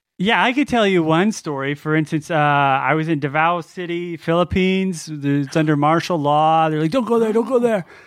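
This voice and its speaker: A man has a plain, everyday voice, fairly high in pitch with ordinary pitch variation. He talks at a moderate pace with hardly any pauses. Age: 40s. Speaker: comedic character guest, extreme traveler. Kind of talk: comedic storytelling.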